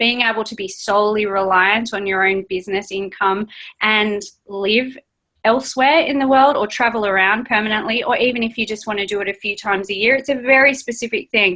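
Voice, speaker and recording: With an Australian accent, a woman speaks at a fairly quick pace in a fairly high, bright and sharp voice. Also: ordinary pitch variation. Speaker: travelling entrepreneur. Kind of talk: interview.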